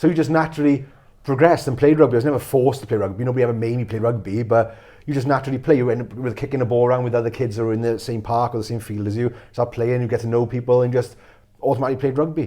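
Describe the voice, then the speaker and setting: A man speaks at a very fast pace with a South Wales accent, his pitch medium. The tone is dark and mellow, the intonation fairly even. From Wales, Pontyclun area. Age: 40s. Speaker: mental health speaker. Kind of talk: interview.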